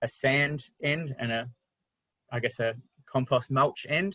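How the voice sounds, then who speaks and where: A man with an Australian accent speaks at medium pitch in a bright, sharp tone. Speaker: wildlife carer. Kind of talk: online talk presentation. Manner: fast.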